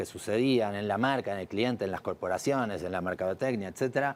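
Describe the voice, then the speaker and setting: Talking at a very fast pace with an Argentine accent, a man holds a fairly low pitch and fairly even intonation. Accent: Argentine accent, kept. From Argentina. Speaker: advertising executive. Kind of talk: TV talk show interview.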